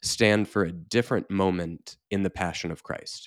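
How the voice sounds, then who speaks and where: A man with a plain, everyday voice speaks at a moderate pace with fairly low pitch, recorded very cleanly against a silent background. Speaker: editor and theology lecturer. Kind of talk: solo lecture-style podcast. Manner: informal, scholarly, self-deprecating.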